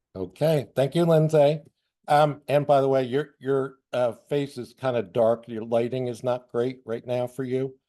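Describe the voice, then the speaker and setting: A man's medium-pitched voice, dark and mellow in tone, moves at a fairly slow pace with fairly even intonation. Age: 60s. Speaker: blind traveler, guest speaker. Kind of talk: personal introduction on webinar. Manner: hesitant, many fillers.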